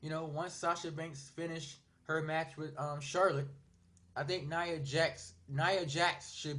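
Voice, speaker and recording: The intonation stays monotone and flat. The delivery is fairly slow. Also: man. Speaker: wrestling YouTuber. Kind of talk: casual vlog monologue. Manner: stuttering; hesitant, many fillers.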